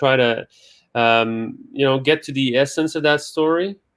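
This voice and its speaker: Here a man speaks with a Quebec accent. His voice sits at medium pitch. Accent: French Canadian accent in English. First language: French. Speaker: film director. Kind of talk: interview. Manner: halting.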